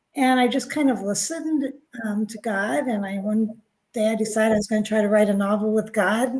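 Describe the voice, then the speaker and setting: A woman's unremarkable speaking voice with ordinary pitch variation. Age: 60s. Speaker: author and spiritual guide. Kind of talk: interview.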